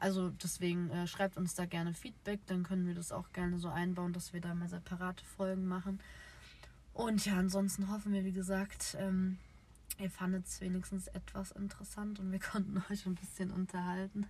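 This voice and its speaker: At a moderate pace, a woman speaks in a medium-pitched, somewhat breathy voice with a dark, mellow tone. Her intonation stays flat and monotone. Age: 20s. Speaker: podcast co-host, nursery educator. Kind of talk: casual chat. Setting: in a car.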